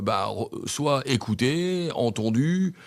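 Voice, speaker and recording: A man speaks with lively intonation. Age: 60s. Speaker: mayoral candidate. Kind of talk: radio interview. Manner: halting, many hesitations.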